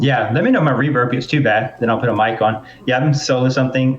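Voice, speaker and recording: Speaking with a Southern US accent, a man moves at a fairly quick pace. His medium-pitched voice stays monotone and flat. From US South. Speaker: podcast host. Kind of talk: casual chat. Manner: fast.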